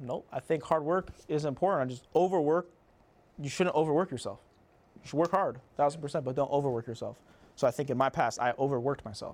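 A man speaks at a very fast pace in a fairly high pitch, with big swings in loudness. The recording is very clean, with a silent background. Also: ordinary pitch variation. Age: 20s. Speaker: guest, business owner. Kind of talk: casual conversation.

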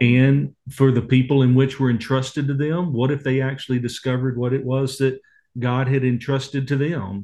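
With a Texas accent, the man talks in a monotone, flat intonation at medium pitch and a moderate pace. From Texas (Waco). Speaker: ministry leader, author and speaker. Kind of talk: interview conversation.

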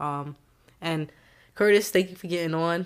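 At a fairly quick pace, a woman with a fairly low pitch speaks with an American accent. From New York. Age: 20s. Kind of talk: casual chat.

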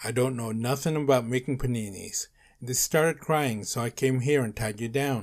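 The speaker reads in an unforced reading voice.

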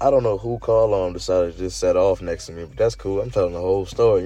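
Music plays in the background. Over it, a man speaks at a very fast pace. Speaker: podcast host. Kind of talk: casual monologue.

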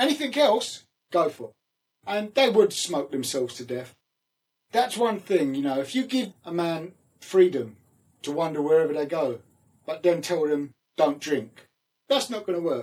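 Moderate pace in a London accent, with very wide pitch swings and long, frequent pauses. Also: man, high pitch for a man. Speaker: former pro wrestler. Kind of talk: casual interview chat.

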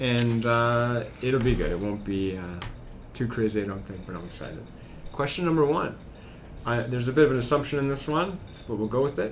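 A man talks at a fairly quick pace with a Canadian Prairies accent. Room echo is audible. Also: medium pitch for a man, lively intonation. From Saskatchewan, Moose Jaw. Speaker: school podcast host, teacher. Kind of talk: casual interview chat.

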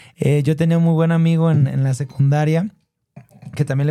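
At a fairly quick pace, a man speaks with a fairly high pitch, a dark, mellow tone and a somewhat breathy voice. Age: 30s. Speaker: entrepreneur and tech content creator. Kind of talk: interview.

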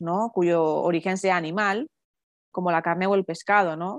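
A woman talks at a moderate pace with a medium pitch and fairly even intonation. The sound is dry and close with no echo, over a quiet background. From Basque Country, San Sebastián. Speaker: podcast host, mother. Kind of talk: casual interview. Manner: halting, many fillers and repetitions.

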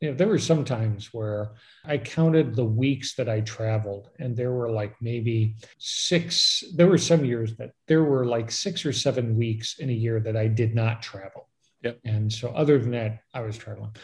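Speaking with an American accent, a man has a medium pitch and a somewhat breathy sound. He keeps a moderate pace. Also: ordinary pitch variation. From Chicago, US. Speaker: travel podcast host. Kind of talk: casual interview chat.

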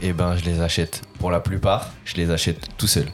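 Music plays in the background as a man speaks at a fairly quick pace. His pitch is very deep and low. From northern France, Lille area. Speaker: basketball content creator. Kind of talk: casual chat.

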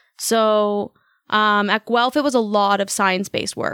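A woman with a Canadian accent speaks at a moderate pace with a fairly high pitch and ordinary pitch variation, in a very clean recording with a silent background and a dry, close sound with no echo. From Toronto, Canada. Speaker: kinesiologist. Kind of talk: podcast interview. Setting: studio. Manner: mumbling.

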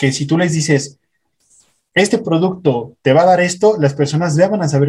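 The speaker is a man with a somewhat breathy voice. He keeps a moderate pace and ordinary pitch variation. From Mexico City. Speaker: affiliate marketer. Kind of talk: casual interview. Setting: home.

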